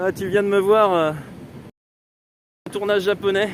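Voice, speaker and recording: Speaking very slowly, a man uses a high voice with a southern French accent. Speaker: photographer and travel vlogger. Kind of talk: live travel vlog walk and chat. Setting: outdoors. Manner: loud.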